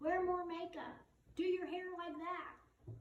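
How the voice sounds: A woman speaks at an extremely high pitch with a slightly mellow tone. Audible room echo surrounds her voice.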